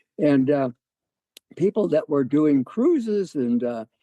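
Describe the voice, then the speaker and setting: His tone is dark and mellow, with a fairly high pitch for a man. He speaks at a moderate pace. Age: 80s+. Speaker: resort owner; amateur stand-up comedian. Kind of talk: interview answer. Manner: casual, hesitant with fillers.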